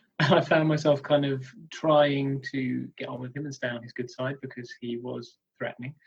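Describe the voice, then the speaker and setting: A man with a fairly high pitch talks at a moderate pace, somewhat breathy. His intonation is flat and monotone, while his loudness swings widely. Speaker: comedian and wrestling commentator. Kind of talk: interview answer.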